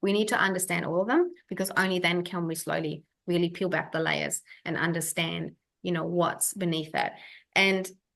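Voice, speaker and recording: Fairly quick, fairly low-pitched female speech with vocal fry over a quiet background. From Germany. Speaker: functional health practitioner. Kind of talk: webinar masterclass. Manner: casual, with many fillers.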